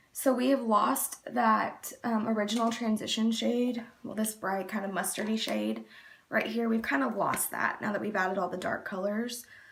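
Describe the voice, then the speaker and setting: A woman speaks at a moderate pace with fairly even intonation, and noticeable background noise can be heard. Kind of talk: makeup tutorial talk to camera.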